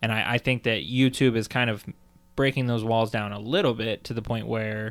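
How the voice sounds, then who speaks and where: A man talks at a moderate pace and medium pitch, with fairly even intonation. He has an unremarkable speaking voice. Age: 20s. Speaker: podcast co-host. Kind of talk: casual chat.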